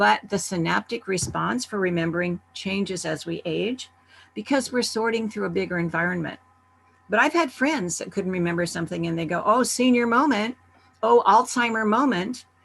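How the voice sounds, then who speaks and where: This woman's medium-pitched voice carries vocal fry and a lively intonation. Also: moderate pace. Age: 70s. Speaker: summit presenter, wellness speaker. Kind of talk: virtual summit talk. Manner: conversational.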